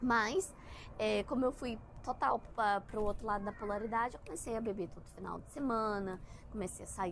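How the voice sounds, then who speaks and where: A woman with vocal fry at a moderate pace. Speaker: spiritual content creator. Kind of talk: casual monologue. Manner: halting.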